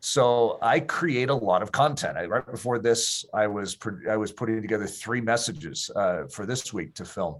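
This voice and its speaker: With an unremarkable speaking voice, a man talks at a moderate pace with lively intonation, medium pitch, and hardly any pauses. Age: 50s. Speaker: pastor and author. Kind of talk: interview.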